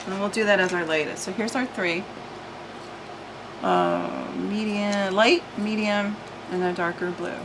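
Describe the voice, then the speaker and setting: Noticeable background noise and audible room echo around a woman's speech. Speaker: art tutorial channel host. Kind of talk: tutorial. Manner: casual, thinking aloud with hesitations.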